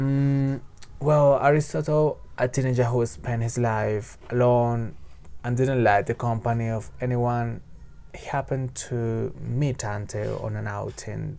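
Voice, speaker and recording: A man with a Spanish accent at a fairly slow pace. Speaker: book reviewer. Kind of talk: book review monologue. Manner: halting, with fillers and repetitions.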